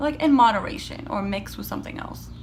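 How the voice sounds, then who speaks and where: A soft-spoken woman whispers, and room echo can be heard. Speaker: beauty vlogger. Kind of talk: makeup tutorial chat. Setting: home, seated by windows. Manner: soft-spoken, near whisper.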